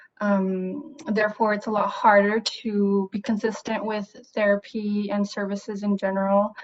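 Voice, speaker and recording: A woman talks at a moderate pace with a medium pitch and monotone, flat intonation. Noticeable background noise is present. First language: Spanish. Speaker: therapist. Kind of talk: interview. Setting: video call.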